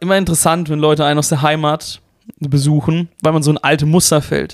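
A man with a plain, everyday voice, fairly high-pitched for a man, at a moderate pace, with dry, close sound and no echo. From Germany, Karlsruhe (Baden). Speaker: podcast host and aspiring stand-up comedian. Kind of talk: casual chat. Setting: home recording in a flat.

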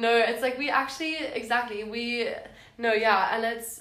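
A woman speaks at a moderate pace in a fairly high voice with fairly even intonation. Noticeable background noise and audible room echo fill the recording. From South Africa, Cape Town. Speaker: university student. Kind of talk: casual chat.

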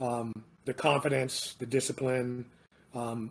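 Here a man is talking. His voice is somewhat breathy. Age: 40s. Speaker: navy veteran. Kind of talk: casual chat. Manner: halting.

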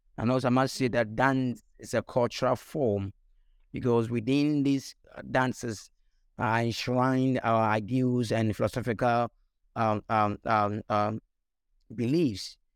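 A man with a Ghanaian accent speaks at a medium pitch and a fairly slow pace, his intonation fairly even and loudness very even, in a very clean, silent-background recording with a dry, close sound and no echo. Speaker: dance scholar and choreographer. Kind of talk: panel discussion.

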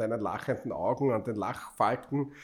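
A man with a normal speaking voice at medium pitch. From Austria, Styria. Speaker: podcast host and city councillor. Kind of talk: casual chat.

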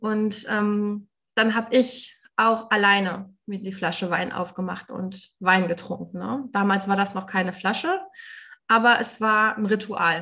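Talking at a fairly slow pace, a woman has a bright, sharp tone and a medium pitch. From Germany. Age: 30s. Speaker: recovering alcoholic, nonprofit worker. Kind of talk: interview testimony.

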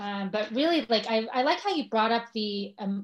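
This woman, with an American accent, keeps to a moderate pace. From US, Los Angeles. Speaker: social media marketer. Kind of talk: casual interview conversation.

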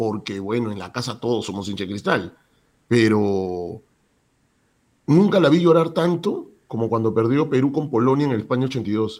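A man's animated voice, fairly slow in pace, with very wide pitch swings. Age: 50s. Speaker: sports journalist and radio announcer. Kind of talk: casual interview. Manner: animated, repetitive.

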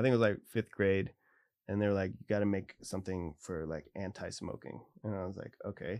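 With an American accent, a man speaks at a fairly quick pace and a fairly low pitch. His is an ordinary speaking voice with ordinary pitch variation. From military family, US Pacific Northwest and Germany. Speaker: artist. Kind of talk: casual interview chat.

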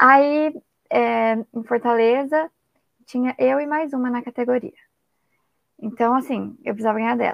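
Pausing long and often, a woman speaks at a fairly slow pace in a high voice with fairly even intonation. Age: 20s. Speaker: former triathlete and physical education student. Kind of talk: casual interview.

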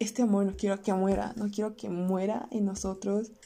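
Somewhat breathy, a woman speaks at medium pitch with a dark, mellow tone. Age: young. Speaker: podcaster. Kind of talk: personal audio diary monologue. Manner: halting.

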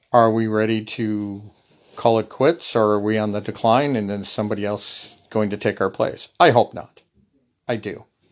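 A man speaks in a plain, everyday voice at a fairly low pitch. His intonation is fairly even and his pace moderate. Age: 50s. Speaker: solo podcaster. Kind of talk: casual monologue. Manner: rambling, conversational.

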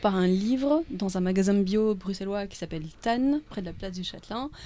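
A woman's medium-pitched, dark, mellow voice at a moderate pace with ordinary pitch variation, on a very clean recording over a silent background. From Belgium, near Brussels. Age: 40s. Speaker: holistic wellness and raw food coach. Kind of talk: interview.

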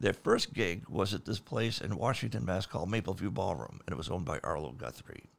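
A man talks at a fairly quick pace with vocal fry on a very clean recording with a silent background. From Maine, South Portland. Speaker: rock keyboardist. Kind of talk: casual chat.

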